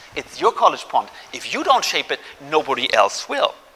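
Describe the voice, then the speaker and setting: A man talks over noticeable background noise. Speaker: philosophy professor. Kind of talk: public lecture. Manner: fast.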